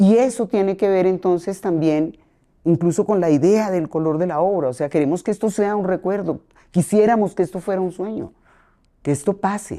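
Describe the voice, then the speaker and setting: A woman's medium-pitched voice at a moderate pace, with ordinary pitch variation and a plain, everyday voice. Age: 60s. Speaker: playwright and theatre director. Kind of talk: podcast interview.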